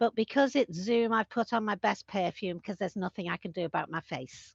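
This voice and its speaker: Her medium-pitched voice has lively intonation as the woman talks at a fairly quick pace. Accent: Liverpool. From Liverpool, England. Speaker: community land trust representative. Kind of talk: conference talk over video call. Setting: video call.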